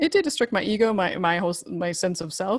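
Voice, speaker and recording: A woman with a normal speaking voice talks at a fairly quick pace and medium pitch with lively intonation. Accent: American. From US, rural Idaho. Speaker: marriage and family therapist, former journalist. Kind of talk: casual interview.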